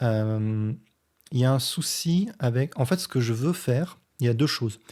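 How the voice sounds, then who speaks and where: A man's dark, mellow voice moves at a fairly slow pace, captured on a very clean recording with a silent background. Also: medium pitch for a man, ordinary pitch variation. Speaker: physics teacher and science youtuber. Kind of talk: response video commentary explaining physics.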